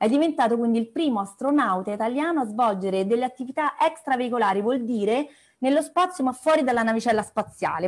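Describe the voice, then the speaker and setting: Against a quiet background, a woman talks at a very fast pace with lively intonation. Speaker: meeting host. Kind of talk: introduction of a guest. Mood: cheerful, laughing. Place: home room. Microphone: earbuds.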